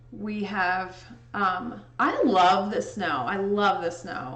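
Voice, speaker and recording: Audible room echo surrounds this voice. It is a woman with an American accent. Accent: Indiana accent with a touch of Chicago. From US Midwest, southern Indiana. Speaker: livestreamer and photo editor; livestreamer. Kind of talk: casual chat. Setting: livestream. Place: home room.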